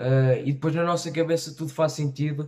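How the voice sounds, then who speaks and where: A man speaks in a flat monotone with a European Portuguese accent against a quiet background. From Portugal, Tarouca. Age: young. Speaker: reaction youtuber. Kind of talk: casual talk to camera. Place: home room.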